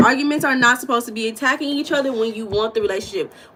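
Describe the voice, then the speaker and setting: A woman with an American accent speaks in an animated tone. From United States. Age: 40s. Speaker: mindset and spiritual coach, livestream host. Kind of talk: live-stream chat with viewers. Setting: live stream with chat.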